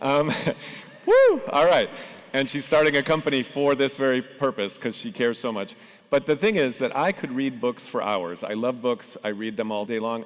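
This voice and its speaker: With a plain, everyday voice, a man speaks at a fairly quick pace in a medium pitch and lively intonation. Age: 60s. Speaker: tech founder and panel moderator. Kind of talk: conference panel talk.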